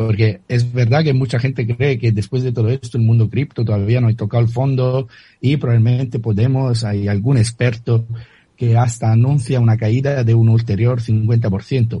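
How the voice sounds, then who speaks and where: A man with an Italian accent speaks at a moderate pace and medium pitch in a dark, mellow, somewhat breathy voice, with monotone, flat intonation, very even loudness and a quiet background. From Italy. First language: Italian (speaking Spanish). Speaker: crypto author and analyst. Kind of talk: radio interview. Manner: halting, with many repetitions.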